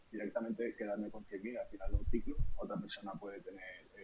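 A man at a very fast pace. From Spain, Madrid. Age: 30s. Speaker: crypto investor and streamer. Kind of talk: podcast interview.

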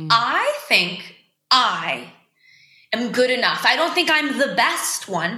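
In an American accent, a woman projects a raised voice at a fairly slow pace, with audible room echo around her. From Boston, Massachusetts. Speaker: singer-songwriter. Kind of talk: casual interview chat.

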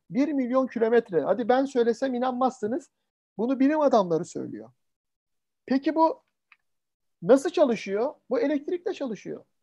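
With a dark, mellow tone and an extremely high pitch, a man talks in lively intonation broken by long, frequent pauses against a quiet background. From Turkey, Samsun (early childhood). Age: 40s. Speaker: sales and marketing trainer, lecturer. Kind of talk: online lecture. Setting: video call webinar. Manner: fast; animated.

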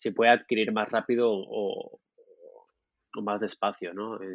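The man speaks at a very slow pace in a fairly low pitch. His intonation is monotone and flat. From Murcia, southern Spain. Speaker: product designer. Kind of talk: interview conversation. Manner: halting, many repetitions.

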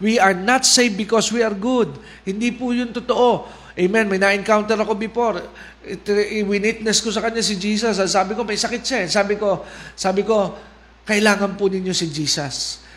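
In a room with audible echo, a man with a high pitch talks at a fairly quick pace and fairly even intonation. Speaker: preacher. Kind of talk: sermon. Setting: online livestream.

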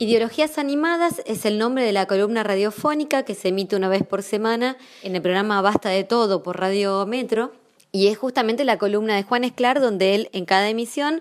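A woman with a plain, everyday voice speaks at a moderate pace in a fairly high pitch with ordinary pitch variation. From Zapala, Neuquén, Argentina. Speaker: journalist and writer. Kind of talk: prepared commentary.

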